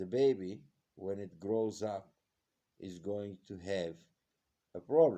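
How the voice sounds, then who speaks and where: Long, frequent pauses break up a very slow delivery in a dark, mellow tone with ordinary pitch variation. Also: man, fairly low pitch for a man. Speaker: health video vlogger. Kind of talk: casual monologue. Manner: halting.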